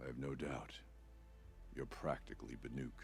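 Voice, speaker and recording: Over clear background noise, a man does a put-on character voice at a moderate pace. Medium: video game. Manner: solemn, grave.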